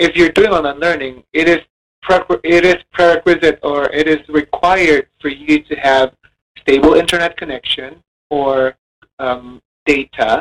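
In a dry, close sound with no echo, a man with a plain, everyday voice talks at a fairly slow pace, his fairly high pitch held in fairly even intonation. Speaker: college lecturer. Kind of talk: monologue.

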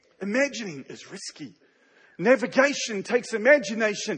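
A man speaks with a New Zealand accent at a moderate pace. His tone is animated, with ordinary pitch variation. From Canada. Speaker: pastor. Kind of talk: sermon. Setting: stage with audience.

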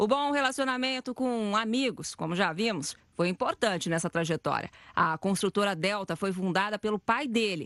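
Speaking in an unremarkable speaking voice, a woman uses a medium pitch and lively intonation at a moderate pace with hardly any pauses. The background is quiet, and the sound is dry and close with no echo. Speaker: news reporter. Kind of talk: scripted news report narration.

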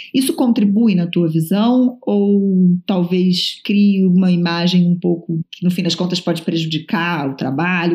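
Speaking at a fairly slow pace with hardly any pauses, a woman uses a fairly low, somewhat breathy voice whose loudness swings widely. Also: ordinary pitch variation. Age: 40s. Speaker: podcast host. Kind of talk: interview conversation. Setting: remote call from home.

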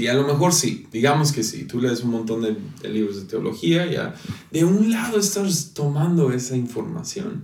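A man's lively intonation amid noticeable background noise and audible room echo. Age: 20s. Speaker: pastor. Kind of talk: casual chat. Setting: home office.

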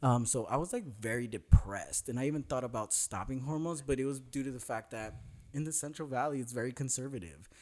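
A man with an American accent at a medium pitch and a very fast pace, on a very clean recording with a silent background. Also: ordinary pitch variation, hardly any pauses. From Northern California. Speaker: special education teacher. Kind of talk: casual chat.

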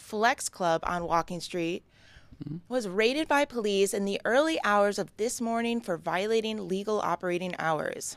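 This woman talks at a moderate pace, her medium-pitched voice carrying lively intonation. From New York. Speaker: comedian and actor. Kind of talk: news reading.

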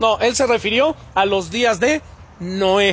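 A man speaks with a Mexican accent in an animated tone. His pitch varies in an ordinary way. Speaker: pastor. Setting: church.

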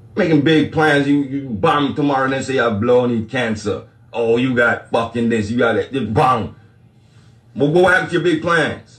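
A man speaks at a medium pitch and a moderate pace. His voice is somewhat breathy, with ordinary pitch variation. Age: 40s. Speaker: livestream spiritual talk host. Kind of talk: casual livestream monologue.

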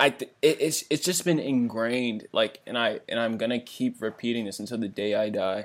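On a very clean recording with a silent background, a man with an American accent uses an ordinary speaking voice at a medium pitch, moving at a moderate pace with ordinary pitch variation and hardly any pauses. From Washington DC area. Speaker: podcast co-host. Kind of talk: casual chat.

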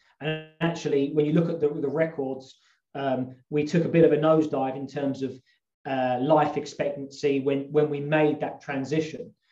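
With music in the background, a man with a southern English accent talks at a moderate pace in a fairly high, monotone voice with flat intonation. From London suburbs, England. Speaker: health coach and outdoor instructor. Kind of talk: casual interview chat. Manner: hesitant, many fillers.

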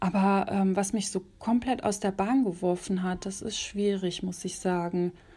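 A woman at medium pitch speaks at a fairly slow pace with hardly any pauses. Her tone is dark, mellow and somewhat breathy, with monotone, flat intonation. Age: 20s. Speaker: journalist. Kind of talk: casual interview.

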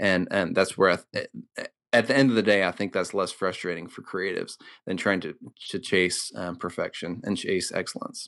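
His pitch is very deep and low, and this man talks at a fairly quick pace. His intonation is fairly even against a quiet background. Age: 30s. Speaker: church creative director. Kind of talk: interview. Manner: hesitant, many fillers.

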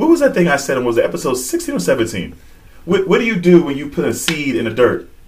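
Noticeable background noise runs through the clip. A man speaks at a fairly quick pace. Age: 20s. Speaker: podcast co-host. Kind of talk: casual chat.

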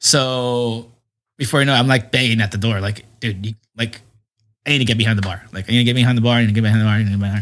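Speaking very fast with an American accent, a man at medium pitch keeps his intonation fairly even in a very clean recording with a silent background. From San Diego, California (Southcrest/Shelltown). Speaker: bar owner. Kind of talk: casual interview chat.

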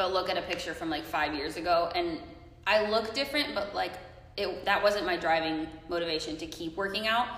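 A woman with a fairly low pitch and lively intonation speaks over noticeable background noise. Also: fairly quick pace. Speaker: guest. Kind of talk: casual chat.

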